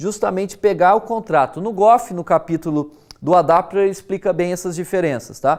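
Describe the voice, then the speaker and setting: The speaker has a Brazilian accent and a fairly quick pace. The recording is very clean, with a silent background. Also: man. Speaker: university lecturer. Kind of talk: lecture. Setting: recorded video lesson. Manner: casual, conversational with frequent fillers.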